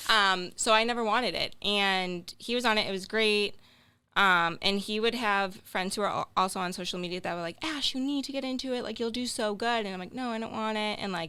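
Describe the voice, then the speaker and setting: In a very clean recording with a silent background, a woman with a strong Boston accent speaks at a fairly high pitch and fairly quick pace with ordinary pitch variation. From Boston area, Massachusetts. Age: 20s. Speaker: social media creator and healthcare worker. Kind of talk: casual podcast interview. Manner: animated.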